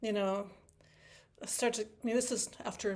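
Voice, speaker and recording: Holding a monotone, flat intonation, a woman speaks at a medium pitch in a Wisconsin accent. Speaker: harpist teaching a workshop. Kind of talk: online workshop talk. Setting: video call from home. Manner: fast; halting, many fillers and restarts.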